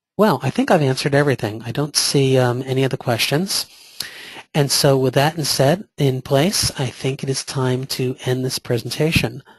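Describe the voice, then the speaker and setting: The voice is somewhat breathy, recorded with a dry, close sound and no echo. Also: man, medium pitch for a man, ordinary pitch variation. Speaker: vendor presenter. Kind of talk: webinar presentation with Q&A. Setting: online webinar. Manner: fast.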